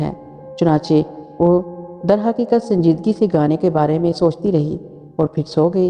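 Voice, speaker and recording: With music in the background, the speaker talks with ordinary pitch variation. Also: woman. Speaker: storyteller. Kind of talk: horror story narration.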